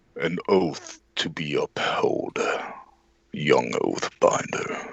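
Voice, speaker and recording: This man talks in a put-on character voice at a very slow pace. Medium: actual play. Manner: imperious.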